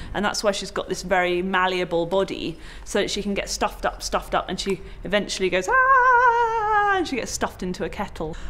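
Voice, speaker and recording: Noticeable background noise runs under the audio. A woman talks over it at a fairly quick pace. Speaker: puppeteer. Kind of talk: interview answer.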